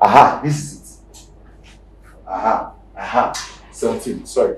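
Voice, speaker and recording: As a man talks, light background noise and audible room echo can be heard. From Nigeria. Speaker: pastor. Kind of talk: sermon. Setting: church. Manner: animated. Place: church.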